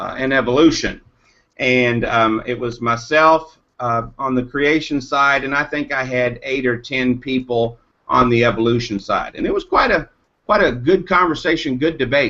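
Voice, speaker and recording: In a bright, sharp tone, a man speaks at a fairly slow pace and a medium pitch with ordinary pitch variation. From Eastern Kentucky. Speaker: caller. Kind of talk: casual chat. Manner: halting, many fillers.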